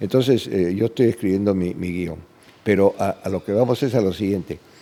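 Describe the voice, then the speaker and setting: A man speaks at a fairly quick pace with a fairly low pitch. His tone is dark and mellow, and his intonation stays fairly even. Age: 80s+. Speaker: film director. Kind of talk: interview. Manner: halting, with many repetitions.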